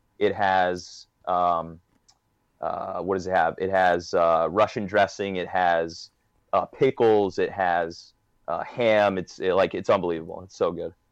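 A man with a New York accent, recorded with a dry, close sound and no echo. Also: quiet background. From Long Island, New York. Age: 30s. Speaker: sports blogger. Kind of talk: casual chat.

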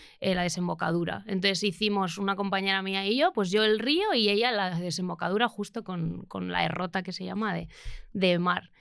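On a very clean recording with a silent background, a woman speaks in an unremarkable speaking voice at a moderate pace and medium pitch, her intonation fairly even. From Spain, Basque Country (Bilbao). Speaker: renewable energy engineer. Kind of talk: casual interview.

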